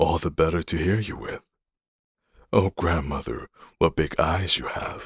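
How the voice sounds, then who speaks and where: This man talks at a fairly slow pace with vocal fry. The sound is dry and close, with no echo. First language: not English. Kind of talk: bedtime story reading. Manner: calm, relaxing.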